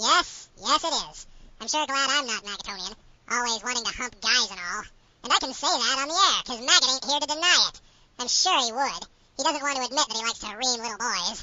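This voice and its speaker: In a put-on character voice, a female-sounding speaker uses a high pitch and a whiny tone at a fairly quick pace. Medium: audio drama. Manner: whiny, excitable.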